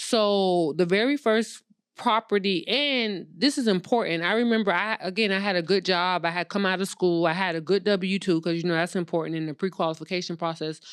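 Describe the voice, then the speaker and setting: An unremarkable speaking voice, a woman's at medium pitch, moves at a fairly quick pace with hardly any pauses and ordinary pitch variation, on a very clean recording with a silent background. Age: 40s. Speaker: credit and funding expert, real estate investor. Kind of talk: casual interview.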